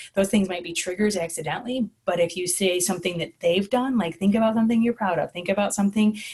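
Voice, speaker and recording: A woman talks at a fairly quick pace, somewhat breathy, with ordinary pitch variation. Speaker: school social worker. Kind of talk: conference presentation. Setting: online presentation with screen share. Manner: fast.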